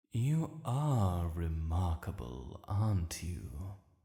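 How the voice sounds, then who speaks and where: Here a man puts on a character voice with a very deep, low pitch. His pace is very slow. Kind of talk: audio roleplay. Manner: slow, commanding.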